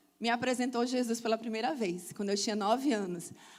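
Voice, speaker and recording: A woman's high-pitched voice. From Brazil, Salvador, Bahia. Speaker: church speaker. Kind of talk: testimony.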